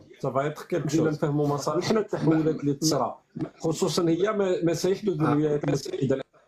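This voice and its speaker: His voice is fairly high in pitch. This man's pitch moves with ordinary variation. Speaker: live-stream host, political commentator. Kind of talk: live stream chat with callers. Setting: live stream on TikTok.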